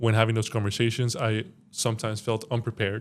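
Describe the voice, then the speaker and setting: A man's medium-pitched voice at a fairly quick pace, on a very clean recording with a silent background. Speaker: corporate employee, early career. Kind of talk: podcast interview. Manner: stutters, uses filler words.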